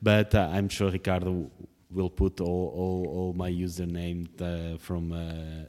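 A man's very deep, low voice with a dark, mellow tone, at a very slow pace, in a very clean recording with a silent background. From Portugal. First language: Portuguese. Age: 30s. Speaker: politician. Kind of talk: interview. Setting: parliament office.

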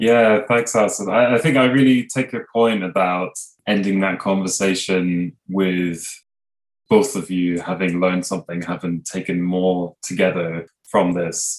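A man's very deep, low pitch at a fairly slow pace. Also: ordinary pitch variation. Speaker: researcher and podcast host. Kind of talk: interview.

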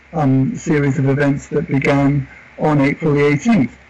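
A man's fairly high voice with fairly even intonation at a fairly slow pace, over noticeable background noise. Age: 60s. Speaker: community worker and activist. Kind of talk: interview. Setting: remote call with rain in background. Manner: halting, repeats words.

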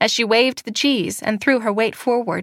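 Natural reading with fairly even intonation

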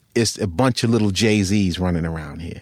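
A man's fairly low voice at a moderate pace, an ordinary speaking voice with ordinary pitch variation, dry and close with no echo. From US Northeast (Long Island, New York). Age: 50s. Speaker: rapper and producer. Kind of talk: casual interview.

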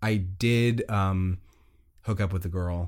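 Recorded very cleanly against a silent background, a man uses an ordinary speaking voice with ordinary pitch variation. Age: 20s. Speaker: podcast co-host. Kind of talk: casual chat.

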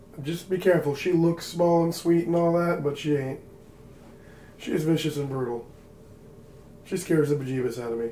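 A man puts on a gruff character voice, fairly high in pitch with ordinary pitch variation. He keeps a moderate pace with long, frequent pauses over clear background noise. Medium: actual play. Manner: gruff, profane, folksy.

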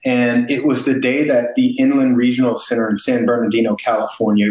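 Over noticeable background noise, a man with a medium-pitched voice speaks at a moderate pace in a flat, monotone delivery. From East St. Louis, Illinois. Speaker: company founder and navy veteran. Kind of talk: interview.

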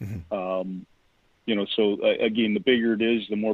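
A man speaks with a Canadian accent. His pitch is fairly low and his pace fairly quick. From Vancouver, Canada. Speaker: mining stockbroker and geologist. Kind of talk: interview.

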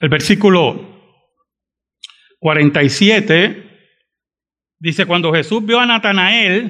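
A man projects a raised voice with a bright, sharp tone. He goes at a very slow pace, with ordinary pitch variation. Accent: Puerto Rican. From Puerto Rico (San Juan, raised in Bayamón). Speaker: pastor. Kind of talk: sermon.

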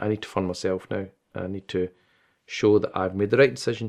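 With a Glaswegian accent, a man with a fairly low voice talks at a fairly quick pace against a quiet background. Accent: Glaswegian Scottish. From Scotland, Glasgow. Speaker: imam and Islamic teacher. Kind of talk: interview.

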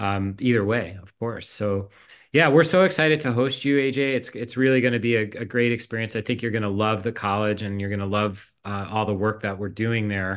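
Against a quiet background, a man with a fairly low pitch and a normal speaking voice talks at a fairly quick pace with ordinary pitch variation. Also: hardly any pauses. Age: 50s. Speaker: college provost. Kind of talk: casual chat.

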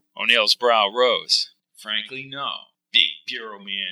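An unforced reading voice against a quiet background.

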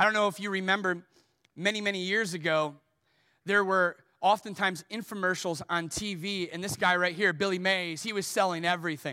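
A man with a high pitch speaks in a raised, projected voice with a bright, sharp tone at a fairly quick pace. The recording is very clean, with a silent background. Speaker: pastor. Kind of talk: sermon; pitchman parody, infomercial-style mimicry. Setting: church. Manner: animated, playful, comedic timing; conversational, self-deprecating.

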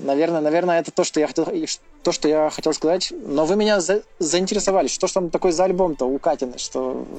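A high-pitched man rushes along very fast, his pitch varying in an ordinary way, with noticeable background noise behind him. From Russia, Urals. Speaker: musician and video host. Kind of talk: casual chat.

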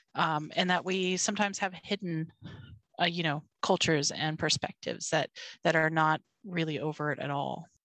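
In a plain, everyday voice, a woman with an American accent speaks at a moderate pace, fairly low in pitch with fairly even intonation, the sound dry and close with no echo against a quiet background. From Argentina and the US. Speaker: consultant with a doctorate. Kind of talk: casual chat.

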